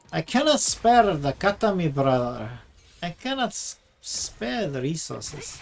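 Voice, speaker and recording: A put-on character voice with a Scottish accent comes out shaky at a middle pitch. It moves at a fairly slow pace. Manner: poorly done, shaky accent.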